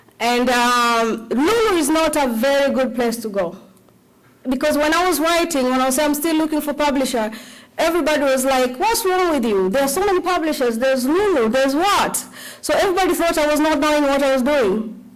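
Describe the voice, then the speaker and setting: A woman with a high pitch talks at a fairly quick pace, her intonation lively and her loudness very even. Noticeable background noise and audible room echo come through. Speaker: cookbook author and self-publisher. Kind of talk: conference talk. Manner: animated.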